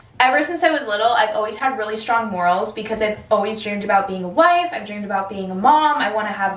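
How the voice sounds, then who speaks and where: Over noticeable background noise, an animated woman speaks at a very fast pace in a fairly high pitch with lively intonation. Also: hardly any pauses. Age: 20s. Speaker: influencer and performer. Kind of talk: casual chat. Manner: loud.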